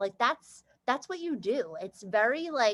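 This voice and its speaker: This woman's high voice swings very widely in pitch, recorded with a dry, close sound and no echo. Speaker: team leader in direct sales. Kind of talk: team call presentation. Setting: video call. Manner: fast.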